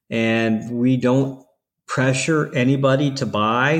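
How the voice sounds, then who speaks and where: A man talks in a normal speaking voice with an American accent and ordinary pitch variation, against a quiet background. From Ohio, US Midwest. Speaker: CBD store owner. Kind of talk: interview.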